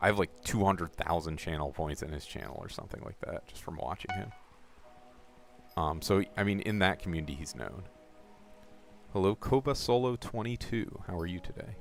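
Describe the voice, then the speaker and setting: Music plays behind a man with a very deep, low pitch. He talks at a fairly quick pace but leaves long, frequent pauses. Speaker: gaming streamer. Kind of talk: live stream chat while playing. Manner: casual, with hesitations.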